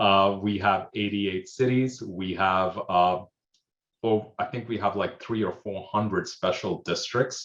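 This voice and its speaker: A man speaks at a fairly slow pace with a fairly low pitch and fairly even intonation. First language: Hindi. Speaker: emergency manager. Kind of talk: panel discussion. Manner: hesitant, many fillers.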